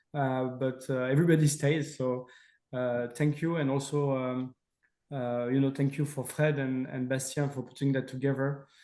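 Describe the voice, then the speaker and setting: A man speaks at a moderate pace with a French accent, his pitch fairly high. His intonation is monotone and flat, with a dark, mellow tone. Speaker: company representative. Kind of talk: webinar Q&A and closing. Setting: online webinar.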